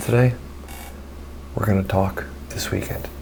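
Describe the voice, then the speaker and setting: With lively intonation, a man's voice carries through audible room echo and noticeable background noise. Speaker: filmmaker and vlogger. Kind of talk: casual vlog monologue. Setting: home at night. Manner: speaking low.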